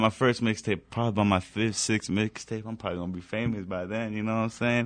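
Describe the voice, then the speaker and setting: A man with an unremarkable speaking voice talks at a medium pitch. His intonation is fairly even, and the background is quiet. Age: 20s. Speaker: rapper. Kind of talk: casual chat.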